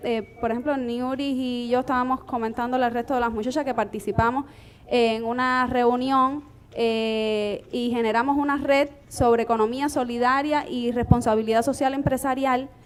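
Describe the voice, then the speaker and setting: A woman speaks with a high pitch. Her intonation is fairly even, at a moderate pace. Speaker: entrepreneur. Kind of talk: panel discussion.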